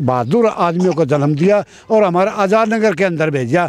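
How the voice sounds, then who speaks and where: Pitch varies in an ordinary way. Background noise is noticeable. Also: man. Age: 70s. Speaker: local resident, friend of interviewee. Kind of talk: interview.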